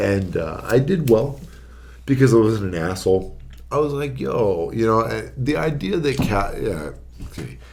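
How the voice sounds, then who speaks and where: A man with an American accent speaks at a moderate pace, with vocal fry and very wide pitch swings. His loudness shifts a lot, and audible room echo is present. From Arizona, Phoenix area. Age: 30s. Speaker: registered nurse. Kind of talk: casual podcast chat.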